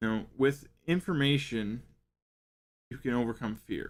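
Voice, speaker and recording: On a very clean recording with a silent background, a man speaks at a medium pitch. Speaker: parenting podcast host. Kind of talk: podcast talk from notes. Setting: live stream. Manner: stumbling over words.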